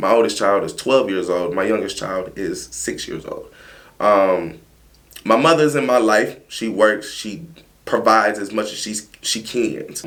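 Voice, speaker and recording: Audible room echo surrounds a man speaking at a fairly slow pace, his pitch fairly low with ordinary variation. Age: 30s. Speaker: mold remediation business owner. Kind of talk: casual interview chat.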